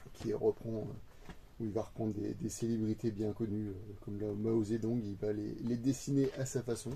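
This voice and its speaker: Somewhat breathy and dark, mellow in tone, a man speaks at medium pitch in a monotone, flat way at a fairly slow pace. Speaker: manga collector youtuber. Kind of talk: casual haul video monologue. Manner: hesitant, many fillers.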